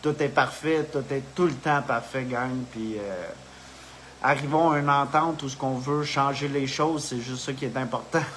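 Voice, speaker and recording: Noticeable background noise sits behind a man's fairly high voice. He talks at a fairly slow pace with fairly even intonation. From Quebec. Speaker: spiritual video host. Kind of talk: casual live monologue. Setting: live video stream. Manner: halting, with many fillers.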